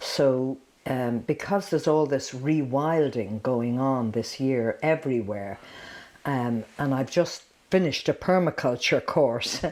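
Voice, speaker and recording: In an Irish accent, the speaker talks at a fairly slow pace with ordinary pitch variation, on a very clean recording with a silent background. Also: woman, very deep, low pitch for a woman. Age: 70s. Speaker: dancer. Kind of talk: casual chat.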